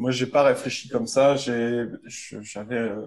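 This man talks in a monotone with flat intonation. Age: 40s. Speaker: medical physicist and company founder. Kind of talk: interview. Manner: halting.

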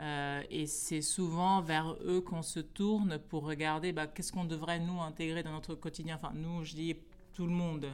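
This woman speaks at a fairly low pitch with monotone, flat intonation. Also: moderate pace. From Guinea-Bissau. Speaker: baobab specialist. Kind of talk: interview.

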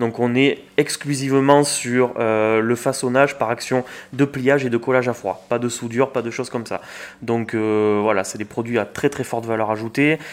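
An ordinary speaking voice from a man, at a moderate pace with fairly even intonation. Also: medium pitch for a man. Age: 20s. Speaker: packaging company manager, engineer. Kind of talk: interview. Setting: recorded on location at a business meeting venue.

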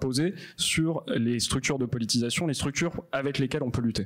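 With a plain, everyday voice, a man talks at a fairly quick pace, medium pitch and ordinary pitch variation. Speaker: event moderator. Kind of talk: moderating, introducing guests.

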